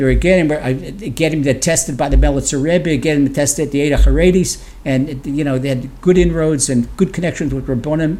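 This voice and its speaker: A man with an American accent talks at a very fast pace in a fairly high pitch. His tone is dark and mellow and somewhat breathy. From US East Coast (Washington, D.C.). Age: 70s. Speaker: rabbi and Torah teacher. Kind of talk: interview conversation. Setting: remote call from Israel.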